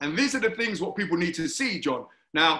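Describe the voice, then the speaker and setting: A man's raised, projected voice with a London accent, high pitch, very wide pitch swings and a bright, sharp tone, plus audible room echo. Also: quiet background. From London, Hackney. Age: 50s. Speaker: talk show host, former Olympic athlete; talk show host. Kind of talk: interview. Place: home room. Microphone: video call.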